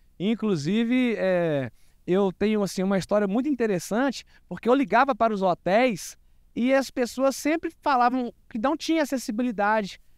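This man speaks at a moderate pace against a quiet background. The sound is dry, with no echo. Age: 40s. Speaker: guest. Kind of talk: interview. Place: open country. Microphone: handheld.

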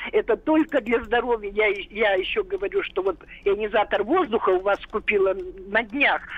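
A woman speaks at a moderate pace with a fairly high pitch and very wide pitch swings, over noticeable background noise. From Russia, Kirov. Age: 70s. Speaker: retired biologist, caller. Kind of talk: listener testimony. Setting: phone call.

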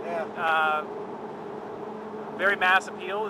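Noticeable background noise with a dry sound and no echo. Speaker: car journalist. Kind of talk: casual conversation commentary. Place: car.

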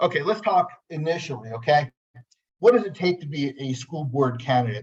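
Somewhat breathy and fairly high in pitch, a man with an American accent speaks with ordinary pitch variation. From New Jersey. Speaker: lawyer. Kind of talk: webinar presentation. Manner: fast.

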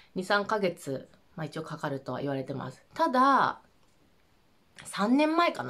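A woman at a moderate pace, her pitch swinging very widely, against a quiet background. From Japan. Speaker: vlogger. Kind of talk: casual monologue. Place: home room.

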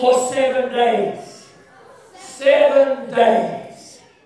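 In a dramatic tone, a man speaks amid strong room echo. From New Zealand. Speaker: storyteller. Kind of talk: oral storytelling to children. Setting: school assembly. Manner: dramatic, expressive. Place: hall.

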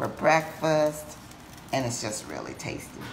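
Light background noise sits under a woman's voice. She speaks at a moderate pace with a very deep, low pitch and ordinary pitch variation. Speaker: home cook host. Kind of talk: casual cooking tutorial chat. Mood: relaxed, playful. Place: kitchen. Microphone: camera far.

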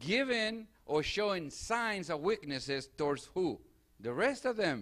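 The man's tone is bright and sharp, and his pace is fairly slow. The background is quiet. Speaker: preacher. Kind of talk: sermon. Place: church. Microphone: handheld.

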